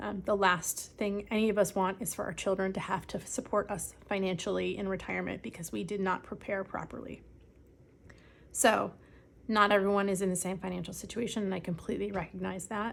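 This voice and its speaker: A woman with vocal fry speaks at a medium pitch with fairly even intonation in a very clean recording with a silent background. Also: fairly quick pace. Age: 40s. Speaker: personal finance vlogger. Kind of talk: casual vlog. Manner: frequent filler ums.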